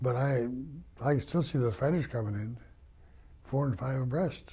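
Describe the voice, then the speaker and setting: A man's dark, mellow tone comes out somewhat breathy, with ordinary pitch variation. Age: 80s+. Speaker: war veteran. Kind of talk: oral history interview.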